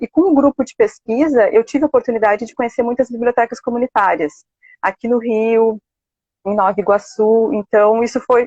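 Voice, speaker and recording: Using a normal speaking voice, a woman talks at a fairly high pitch and a fairly quick pace with ordinary pitch variation. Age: 30s. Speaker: library science student. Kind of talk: live interview. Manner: casual, with many fillers.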